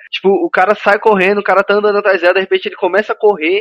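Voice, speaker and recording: A man speaks at a high pitch with a dry, close sound and no echo. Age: 20s. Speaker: podcast host. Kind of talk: casual chat.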